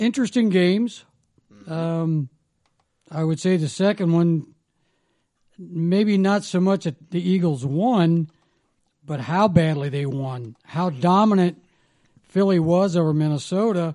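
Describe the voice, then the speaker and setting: Long, frequent pauses break up a man's speech at a fairly slow pace. His pitch is high and his tone is dark and mellow. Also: ordinary pitch variation. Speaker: sports commentator. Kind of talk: casual sports chat.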